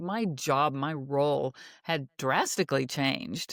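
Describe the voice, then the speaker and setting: A woman with ordinary pitch variation in a dry, close sound with no echo, on a very clean recording with a silent background. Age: 60s. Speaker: naturopath and author. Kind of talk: interview. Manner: halting.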